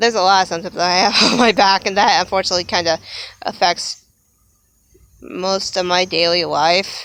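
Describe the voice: Fairly low in pitch, a woman speaks at a moderate pace with fairly even intonation and a clear, smooth, fairly bright tone.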